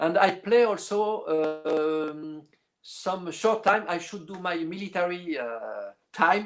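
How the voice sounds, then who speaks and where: High male voice with a French accent, very slow pace, big swings in loudness, and ordinary pitch variation. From northern France, Lille. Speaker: orchestral clarinetist. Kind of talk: interview. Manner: halting, many fillers.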